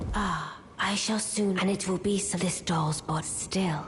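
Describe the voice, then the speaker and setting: Over clear background noise, a female-sounding voice does a put-on character voice at a medium pitch and a fairly slow pace. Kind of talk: archaic fantasy speech. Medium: video game. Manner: measured, cool, formal.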